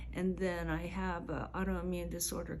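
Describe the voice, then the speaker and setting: With vocal fry, a woman talks at a fairly slow pace and shows ordinary pitch variation. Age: 70s. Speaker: spa client receiving treatment. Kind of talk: interview testimony.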